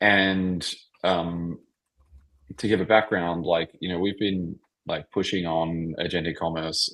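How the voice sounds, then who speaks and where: In an Australian accent, a man with a very deep, low voice speaks at a moderate pace against a quiet background. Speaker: tech founder. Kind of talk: podcast interview. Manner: halting, many fillers.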